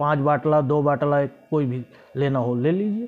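This man's pitch is fairly high, with ordinary variation. He moves at a fairly slow pace. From Gonda district, Uttar Pradesh, India; Uttar Pradesh, India. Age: 30s. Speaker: local political video blogger; political commentator. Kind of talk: political monologue to camera. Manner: halting, with frequent pauses. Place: home room. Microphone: lapel.

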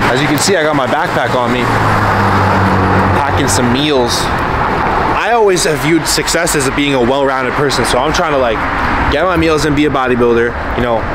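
Loud background noise runs under a man speaking at a fairly quick pace with ordinary pitch variation. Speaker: fitness vlogger. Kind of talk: casual vlog chat. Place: street. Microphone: phone near.

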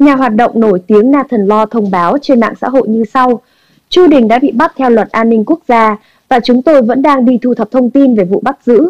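A woman with a high-pitched voice speaks at a moderate pace, her loudness very even and the sound dry and close with no echo. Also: ordinary pitch variation. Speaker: news anchor. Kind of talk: news reading. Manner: formal.

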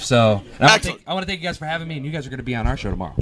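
The voice belongs to a man. Noticeable background noise is present throughout. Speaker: podcast host. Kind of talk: casual storytelling to live audience. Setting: live recording at a gaming convention. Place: hall. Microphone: handheld.

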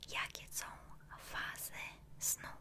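The speaker whispers in a soft-spoken way. Noticeable background noise runs underneath. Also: woman. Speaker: ASMR creator. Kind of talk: soft-spoken ASMR roleplay questions. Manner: close, soft ASMR whisper. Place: home room. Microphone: studio mic.

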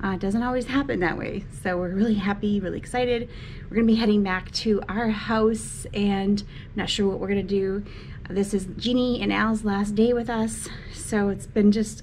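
A woman talks at a moderate pace in a monotone, flat way. Light background noise is present. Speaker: travel vlogger. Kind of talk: casual vlog chat. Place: home room. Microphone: phone near.

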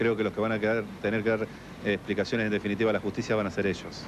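Over noticeable background noise, a man with a fairly low pitch speaks at a very fast pace. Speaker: interviewee. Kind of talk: interview answer. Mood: defensive, contrite. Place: hall. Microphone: handheld.

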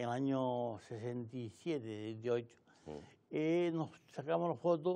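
Very slow and with lively intonation, a man speaks in a dark, mellow tone. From Canary Islands (Arrecife, Lanzarote); Canary Islands. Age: 60s. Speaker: retired local police officer and journalist; journalist. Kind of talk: casual interview. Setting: TV studio. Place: studio.

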